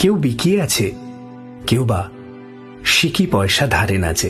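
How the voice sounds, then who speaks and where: Over music in the background, a man's strained voice takes very wide pitch swings while keeping a calm tone. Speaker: radio jockey. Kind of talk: poetry reading. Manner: calm, intimate, restrained.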